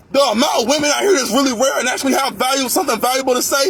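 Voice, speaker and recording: A man speaks loudly at an extremely high pitch. Noticeable background noise runs underneath. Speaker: vlogger ranting about workplace. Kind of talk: angry rant monologue.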